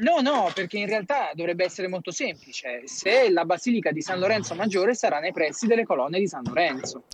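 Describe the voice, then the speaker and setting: Over noticeable background noise, a man talks fairly quickly with hardly any pauses. His high voice has lively intonation. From Campania. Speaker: local political candidate. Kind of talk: casual chat.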